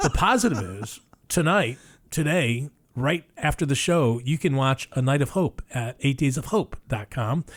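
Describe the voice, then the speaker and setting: The man's voice sits fairly high and moves at a moderate pace with lively intonation. His sound is dry and close, without any echo. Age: 60s. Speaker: radio show co-host. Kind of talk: casual radio chat. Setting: radio studio. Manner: animated.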